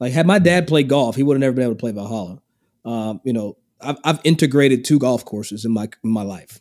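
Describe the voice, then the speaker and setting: Talking at a very fast pace with a slight Kentucky accent, a man of medium pitch comes through on a very clean recording with a silent background. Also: ordinary pitch variation. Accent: Kentucky Southern US, slight. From Kentucky, US. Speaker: golf podcaster and broadcaster. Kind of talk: casual chat.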